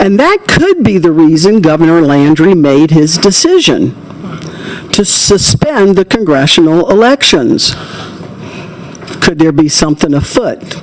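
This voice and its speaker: Someone with an American accent talks at a fairly slow pace, leaving long, frequent pauses, with noticeable background noise. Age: 70s. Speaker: public hearing witness. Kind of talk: testimony. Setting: legislative committee hearing.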